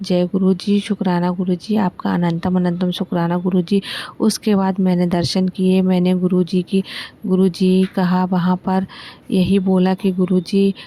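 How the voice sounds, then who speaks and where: Her voice is medium in pitch with a dark, mellow tone, somewhat breathy, and this woman keeps a monotone, flat intonation and very even loudness. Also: dry, close sound with no echo. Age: 60s. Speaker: devotee sharing a thanksgiving testimony. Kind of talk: devotional testimony.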